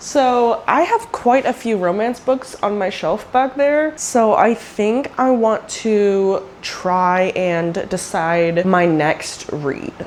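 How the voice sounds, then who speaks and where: A woman's fairly high-pitched voice at a very slow pace, with noticeable background noise. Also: hardly any pauses. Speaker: book vlogger. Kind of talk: casual vlog. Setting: at home by her bookshelf. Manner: animated.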